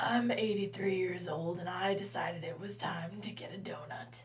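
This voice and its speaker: A woman does a raspy, put-on character voice at medium pitch, with lively intonation at a moderate pace and clear background noise. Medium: read story. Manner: polite, modest.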